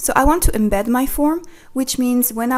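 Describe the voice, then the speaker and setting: Over noticeable background noise, a woman with a French accent speaks at a moderate pace in a high voice with ordinary pitch variation. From France. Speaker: online tutorial creator. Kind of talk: tutorial.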